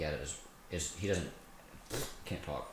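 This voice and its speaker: Recorded with noticeable background noise and audible room echo, a man speaks. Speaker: podcast co-host. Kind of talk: casual chat. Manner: monotone.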